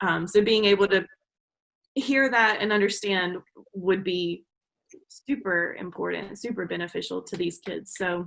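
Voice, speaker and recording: This woman talks at a fairly slow pace with a Southern US accent, leaving long, frequent pauses. Her pitch is medium and her pitch variation is ordinary. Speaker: online English teacher and adjunct professor. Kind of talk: interview. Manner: frequent filler 'um'.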